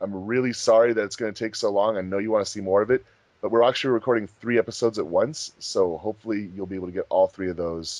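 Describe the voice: A man speaks at a fairly quick pace, his pitch fairly low. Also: slightly mellow tone.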